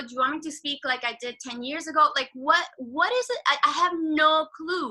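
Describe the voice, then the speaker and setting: With a Spanish accent, a woman projects a high, bright, sharp voice at a fairly quick pace. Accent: Spanish accent, often mistaken for French. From Venezuela. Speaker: actor. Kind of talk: interview.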